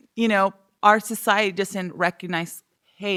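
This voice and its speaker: At a moderate pace, the speaker's tone comes across bright and sharp. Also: woman. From Southern California (East Los Angeles, then Inland Empire). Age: 30s. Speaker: entrepreneur and mother. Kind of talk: casual chat. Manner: lots of filler 'like'.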